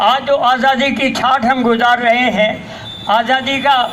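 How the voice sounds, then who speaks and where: There is noticeable noise behind the speaker. The man's voice carries audible echo from the room. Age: 80s+. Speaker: elderly speaker at commemoration. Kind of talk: speech at public event.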